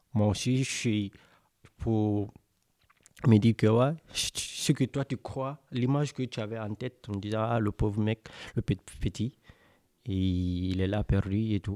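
In a very clean recording with a silent background and a dry, close sound without echo, a man speaks very slowly at a fairly low pitch, his tone dark and mellow, with ordinary pitch variation and long, frequent pauses. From West Africa (Senegal/Guinea). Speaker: radio workshop participant. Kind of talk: casual storytelling; mock TV debate hosting.

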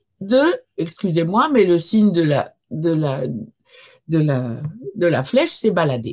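A woman's fairly low voice with very wide pitch swings at a very slow pace. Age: 70s. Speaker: archaeologist and linguist. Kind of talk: lecture. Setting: video call.

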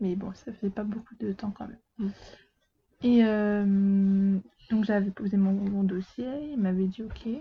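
At a very slow pace, a woman speaks in a somewhat breathy voice with big swings in loudness. Her intonation stays fairly even. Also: medium pitch for a woman. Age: 20s. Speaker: apprentice bookseller. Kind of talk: casual chat.

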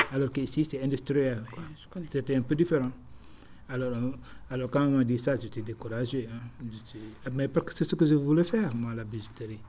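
A man's dark, mellow, somewhat breathy voice at medium pitch and moderate pace, with ordinary pitch variation and long, frequent pauses. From Senegal, Dakar. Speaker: taxi driver. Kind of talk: interview. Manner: halting.

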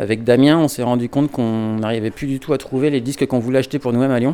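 Ordinary pitch variation marks this man's medium-pitched voice, which has a dark, mellow tone. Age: 40s. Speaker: record shop owner. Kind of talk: casual interview.

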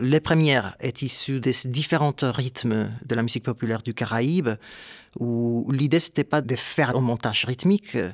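A man at a fairly slow pace with ordinary pitch variation, on a very clean recording with a silent background. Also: dry, close sound with no echo. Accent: Spanish. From Puerto Rico (Ponce). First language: Spanish (speaking French). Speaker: composer. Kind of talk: interview testimony.

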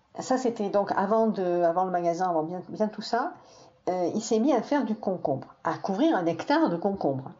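With lively intonation, a woman speaks at a moderate pace and medium pitch over noticeable background noise. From southern France, Perpignan area. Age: 60s. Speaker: teacher recounting her father's life. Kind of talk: personal testimony interview. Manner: halting, with many hesitations.

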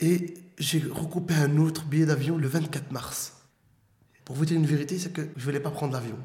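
A man's fairly high voice with audible room echo. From Brussels, Belgium. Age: 30s. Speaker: former detainee. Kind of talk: testimony.

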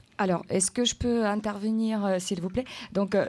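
A woman's medium-pitched voice, dark and mellow in tone, with fairly even intonation, on a very clean recording against a silent background. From Ukraine. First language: Ukrainian (speaking French). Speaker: translator. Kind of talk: interview on school radio.

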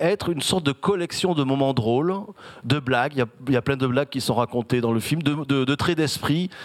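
A fairly high-pitched man at a fairly quick pace, with ordinary pitch variation. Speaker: event moderator. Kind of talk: moderated author talk. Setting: stage with audience. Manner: halting.

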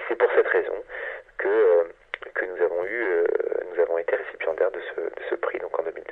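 A man talks over noticeable background noise. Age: 40s. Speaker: science journalist. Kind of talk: interview. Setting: phone call. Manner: hesitant, many filler sounds.

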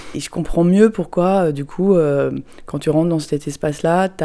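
A woman talks in a dark, mellow tone, her pitch varying in an ordinary way. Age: 40s. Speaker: parent recounting a Disneyland visit. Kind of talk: personal testimony.

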